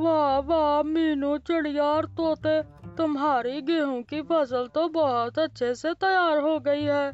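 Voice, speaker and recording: A cartoonish character voice at a fairly slow pace, with clear music in the background. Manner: confident, advising.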